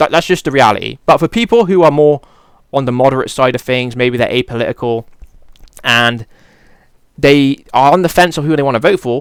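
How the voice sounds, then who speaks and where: An animated man with a British accent, fairly high in pitch, at a fairly quick pace with long, frequent pauses, ordinary pitch variation, and a dry, close sound with no echo. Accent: British accent, regional. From Britain. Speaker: political commentary youtuber. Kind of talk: casual opinion monologue. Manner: casual, animated.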